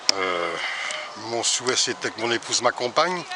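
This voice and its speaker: Against noticeable background noise, a man speaks at a moderate pace and medium pitch with lively intonation. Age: 60s. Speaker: retired cyclist. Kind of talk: casual interview.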